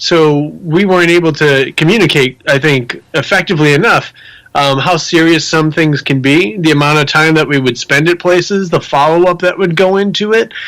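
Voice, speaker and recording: At a fairly high pitch and moderate pace, a man with an unremarkable speaking voice talks with hardly any pauses, very even loudness and ordinary pitch variation. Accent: American. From Rhode Island, US (Providence area). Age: 40s. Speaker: motivational speaker and paranormal investigator. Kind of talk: podcast interview.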